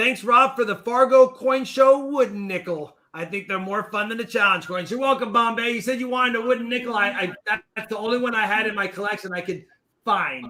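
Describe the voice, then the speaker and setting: A raised, projected voice at a fairly quick pace. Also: man, high pitch for a man, ordinary pitch variation. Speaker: coin channel host. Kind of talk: casual chat. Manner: loud. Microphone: echo and feedback reported.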